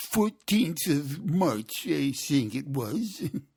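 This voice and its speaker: Putting on a character voice, a man speaks at a very slow pace with a fairly high pitch and very wide pitch swings. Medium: read story. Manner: nervous, hesitant.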